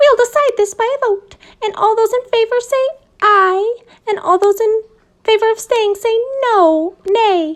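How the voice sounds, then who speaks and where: Using a put-on character voice, a woman speaks at a moderate pace and an extremely high pitch. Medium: read story. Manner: officious, smug.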